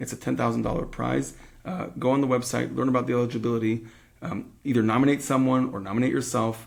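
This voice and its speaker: Vocal fry runs through this man's very fast delivery. His intonation stays fairly even. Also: medium pitch for a man. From Israel. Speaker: podcast host, rabbi. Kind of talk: podcast interview. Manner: halting, many fillers.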